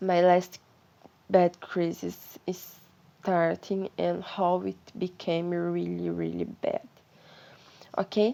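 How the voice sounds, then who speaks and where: A woman talks at a very slow pace. Her speech has long, frequent pauses. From Brazil. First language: Portuguese. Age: 20s. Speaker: vlogger sharing mental health experience. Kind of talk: personal testimony. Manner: halting, searching for words.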